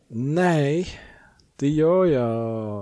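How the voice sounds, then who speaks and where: Here a man talks at a fairly high pitch. His intonation is lively. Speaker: podcast co-host. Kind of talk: casual chat. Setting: at home in son's bedroom.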